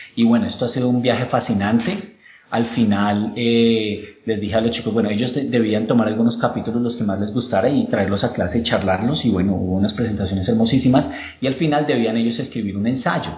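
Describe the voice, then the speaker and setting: Fairly quick speech with ordinary pitch variation, audible room echo and noticeable background noise. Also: man, medium pitch for a man. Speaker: university professor. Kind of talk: interview.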